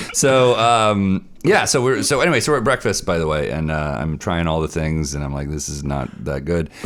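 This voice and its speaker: With an American accent, a man talks in a very deep, low voice with very wide pitch swings and hardly any pauses over noticeable background noise. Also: moderate pace. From United States. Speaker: comedy podcast host. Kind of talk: casual chat. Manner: animated.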